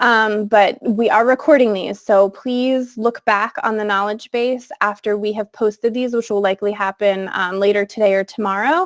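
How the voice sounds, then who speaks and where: A woman's plain, everyday voice, fairly high-pitched, at a moderate pace with hardly any pauses and fairly even intonation, in a dry, close sound with no echo. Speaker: technology coach and former teacher. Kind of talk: webinar tutorial. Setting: video call.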